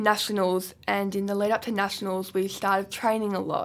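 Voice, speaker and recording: A woman speaks with an Australian accent at a medium pitch. The recording is very clean, with a silent background. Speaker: wheelchair football player. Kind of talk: casual chat. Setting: studio.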